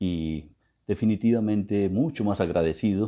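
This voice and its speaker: In an Antioquian accent, a man speaks at a very slow pace with a very deep, low pitch, a dark, mellow tone and ordinary pitch variation against a quiet background. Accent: Antioquian Colombian (paisa). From Colombia, Antioquia. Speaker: guest speaker on Colombian culture. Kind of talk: interview talk. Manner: formal.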